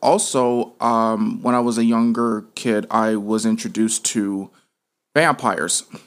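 Heard on a very clean recording with a silent background, a man talks fairly slowly in an ordinary speaking voice at a medium pitch. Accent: American. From Las Vegas, Nevada. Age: 20s. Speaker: filmmaker. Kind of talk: interview.

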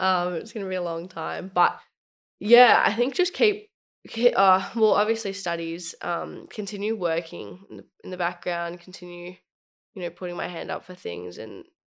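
A moderate-paced woman's voice in an Australian accent. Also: big swings in loudness. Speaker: youth leader. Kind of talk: casual chat.

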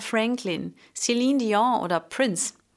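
A female voice at a very slow, drawn-out pace on a very clean recording with total silence behind it. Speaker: vocal coach and singer. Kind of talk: solo podcast monologue on singing.

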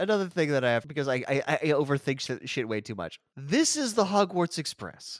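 Talking fairly quickly with hardly any pauses, a man uses lively intonation at a fairly high pitch in a very clean, silent recording with a dry, close sound and no echo. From United States, schooled abroad at British-style boarding school. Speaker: podcast host. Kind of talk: casual chat.

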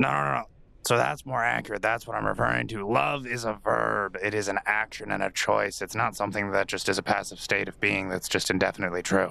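Putting on a character voice, a man talks at a very fast pace with fairly low pitch and very wide pitch swings. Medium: actual play. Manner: dry, curt.

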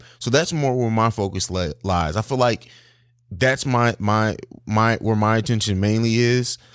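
In a very clean recording with a silent background, a man with a plain, everyday voice and an American accent speaks at a moderate pace and medium pitch, with ordinary pitch variation. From raised overseas in Italy and Germany, US from 16. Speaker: podcast host and father. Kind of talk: casual chat.

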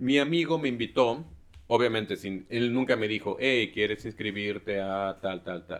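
A man talks at a moderate pace and medium pitch. He has an unremarkable speaking voice. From Mexico, Xalapa (Veracruz). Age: 30s. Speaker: former freemason. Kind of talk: interview conversation.

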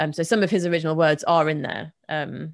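A woman's very deep, low voice with vocal fry and a monotone, flat intonation. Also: very clean recording, silent background. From England, Bedford. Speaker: materials scientist and science writer. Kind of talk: casual interview.

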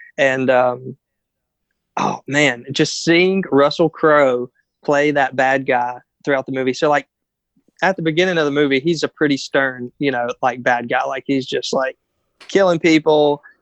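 This is an unremarkable speaking voice: a man with a fairly high pitch and fairly even intonation, at a moderate pace. The sound is dry and close, with no echo. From North Carolina, US. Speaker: guest. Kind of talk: casual chat. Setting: call recording.

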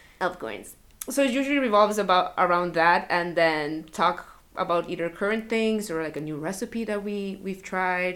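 She has an unremarkable speaking voice at a medium pitch. The woman talks at a moderate pace with ordinary pitch variation. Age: 20s. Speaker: university student and gamer. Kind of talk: casual chat. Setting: at a friend's home.

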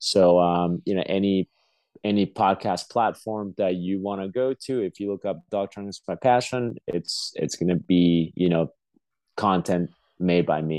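No echo reaches this dry, close sound. Behind it, the background stays quiet. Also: man, very deep, low pitch for a man, moderate pace. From Peru. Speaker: dog trainer. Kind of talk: casual chat.

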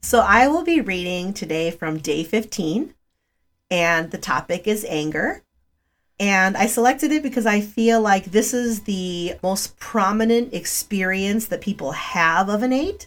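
A woman with a normal speaking voice uses lively intonation at a medium pitch. The recording is very clean, with a silent background. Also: fairly slow pace. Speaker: author. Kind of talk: interview.

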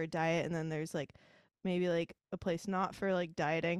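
On a very clean recording with a silent background, a woman speaks at a moderate pace and medium pitch in a plain, everyday voice. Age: 20s. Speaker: podcast host. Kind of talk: interview; scripted intro.

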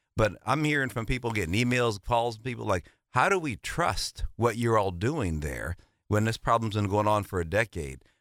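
Recorded very cleanly against a silent background, a man talks in an ordinary speaking voice, fairly low in pitch, with lively intonation. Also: moderate pace. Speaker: state legislator and car dealer. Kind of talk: panel discussion.

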